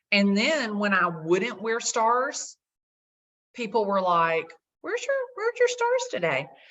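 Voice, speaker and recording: A woman with a strong Southern US accent, at a fairly slow pace. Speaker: realtor. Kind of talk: casual chat. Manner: animated.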